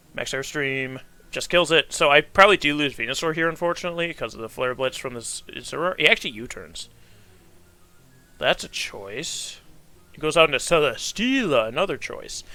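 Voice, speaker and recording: A fairly high-pitched man at a fairly quick pace, lively intonation and big swings in loudness, music in the background. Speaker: gaming commentator. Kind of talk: live gameplay commentary. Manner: casual.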